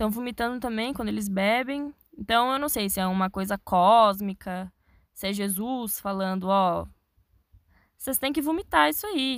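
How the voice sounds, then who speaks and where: A woman talks at a medium pitch on a very clean recording with a silent background. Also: ordinary pitch variation, moderate pace. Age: young. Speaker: podcaster. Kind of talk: solo podcast monologue. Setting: inside a wardrobe. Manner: casual, chatty.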